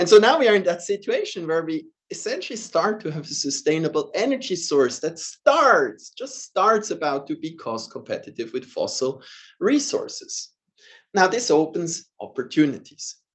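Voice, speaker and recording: A man with a Swiss accent speaks at a moderate pace in a high pitch, with very wide pitch swings and big swings in loudness. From Switzerland. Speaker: professor. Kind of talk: lecture.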